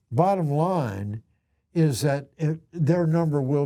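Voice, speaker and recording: Very slowly and with lively intonation, a man speaks in a fairly high voice with a dark, mellow tone. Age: 70s. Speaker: sports radio host. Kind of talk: casual chat.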